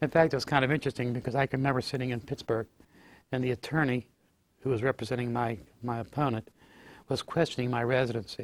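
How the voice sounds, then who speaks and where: A man with a Western Pennsylvania accent talks at a very fast pace. His pitch sits in the medium range. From Fayette County, Pennsylvania. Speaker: former state legislator. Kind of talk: oral history interview answer.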